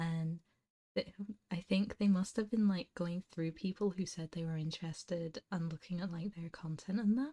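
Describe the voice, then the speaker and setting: In a dry, close recording with no echo, a woman speaks at a moderate pace in a dark, mellow, somewhat breathy tone with fairly even intonation. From England, not the south. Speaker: ASMR streamer, vtuber. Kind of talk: casual chat on ASMR livestream. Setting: livestream. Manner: soft-spoken.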